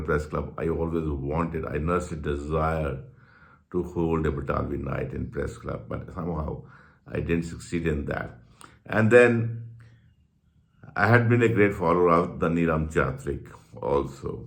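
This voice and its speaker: A man with a very deep, low pitch and vocal fry speaks in a Punjabi accent at a moderate pace, with ordinary pitch variation. Audible room echo surrounds his voice. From Punjab, India. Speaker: journalist and channel host. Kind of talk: personal reminiscence monologue. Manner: halting, with repetitions.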